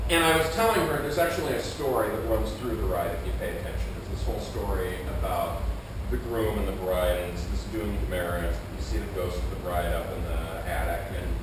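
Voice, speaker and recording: Amid noticeable background noise and strong room echo, a man talks at a fairly quick pace. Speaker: solo storyteller performer. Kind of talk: storytelling monologue. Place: stage.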